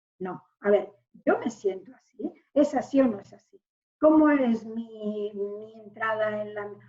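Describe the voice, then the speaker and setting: A woman with a fairly high voice speaks at a very slow pace. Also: ordinary pitch variation, big swings in loudness. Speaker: gynecologist. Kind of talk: interview answer.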